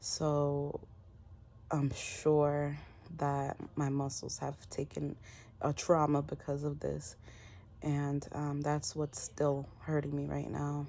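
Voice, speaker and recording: In a dark, mellow tone, the voice moves at a very slow pace with monotone, flat intonation and long, frequent pauses. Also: woman, very deep, low pitch for a woman. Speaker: vlogger. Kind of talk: casual vlog. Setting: at home, lying down.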